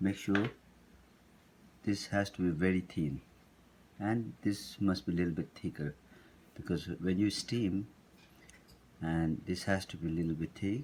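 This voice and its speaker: With a Tibetan accent, a man speaks at a very deep, low pitch, leaving long, frequent pauses. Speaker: cooking instructor. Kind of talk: cooking tutorial. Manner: halting, with many fillers.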